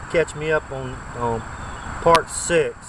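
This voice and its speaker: Over noticeable background noise, a man speaks in a relaxed tone. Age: 50s. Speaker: bushcraft vlogger. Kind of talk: casual vlog. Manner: relaxed, halting with fillers.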